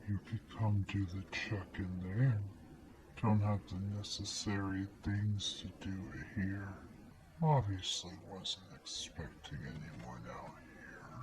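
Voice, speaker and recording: Over clear background noise, a man uses a gravelly, put-on character voice at a fairly slow pace. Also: fairly low pitch for a man. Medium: read story. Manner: lax, casual, veiled menace.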